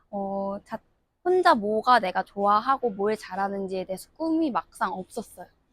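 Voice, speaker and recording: Using an unremarkable speaking voice, a woman talks at a moderate pace with lively intonation, the sound dry and close with no echo. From South Korea. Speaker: international student graduate. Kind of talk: interview.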